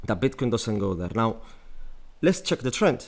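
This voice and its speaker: A man's voice with lively intonation. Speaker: crypto trading analyst. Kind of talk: market analysis tutorial. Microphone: new microphone.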